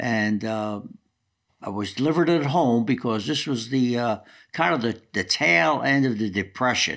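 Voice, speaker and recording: With a New Jersey accent, a man speaks at medium pitch and a moderate pace with lively intonation, in a very clean recording with a silent background. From New Jersey, Newark. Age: 80s+. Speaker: retired football coach. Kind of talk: autobiographical interview.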